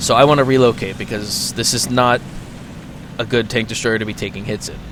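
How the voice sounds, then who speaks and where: The speaker keeps a fairly quick pace over noticeable background noise. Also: man. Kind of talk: gameplay commentary. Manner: casual.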